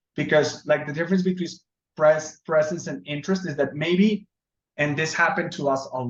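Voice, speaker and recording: Speaking in a Spanish accent at a moderate pace, a man uses a fairly high pitch with ordinary pitch variation. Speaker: software trainer. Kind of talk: tutorial. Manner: halting.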